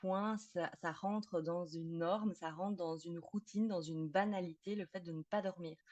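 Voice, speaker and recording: With a slight Belgian accent, the speaker keeps a fairly even intonation in a dry, close sound with no echo. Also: woman. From Belgium. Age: 30s. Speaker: psychotherapist specialised in sleep disorders. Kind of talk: podcast interview.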